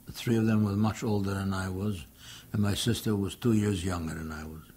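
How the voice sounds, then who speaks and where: A man with a fairly low pitch and a dark, mellow tone, somewhat breathy and fairly even in intonation. He talks at a fairly quick pace, with audible room echo. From Poland. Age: 80s+. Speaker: Holocaust survivor. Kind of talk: testimony.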